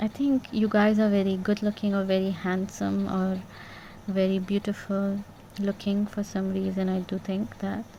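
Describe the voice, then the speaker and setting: A soft-spoken woman's voice, somewhat breathy, medium in pitch, dark and mellow in tone, flat and monotone in intonation, at a moderate pace. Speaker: tarot reader. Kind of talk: tarot reading. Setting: bedroom at night.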